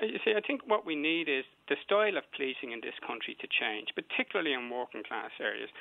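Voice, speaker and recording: A man with a Dublin accent, fairly quick, with very wide pitch swings. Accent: Dublin Irish. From Dublin north inner city. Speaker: community activist caller. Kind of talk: heated debate.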